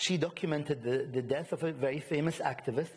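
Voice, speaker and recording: Very fast and fairly high in pitch, a man speaks with ordinary pitch variation. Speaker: art collector and lecturer; lecturer. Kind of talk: panel discussion. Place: hall. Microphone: lapel.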